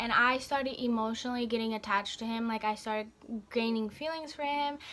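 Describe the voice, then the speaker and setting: The woman speaking has a fairly high pitch. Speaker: beauty vlogger. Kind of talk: storytime vlog. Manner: fast; halting, stuttering.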